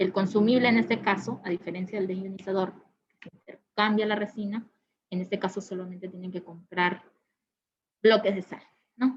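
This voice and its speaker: This woman's voice sits at a medium pitch, moving at a moderate pace with ordinary pitch variation. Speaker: product specialist presenting a webinar. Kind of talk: technical webinar presentation. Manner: many fillers and hesitations.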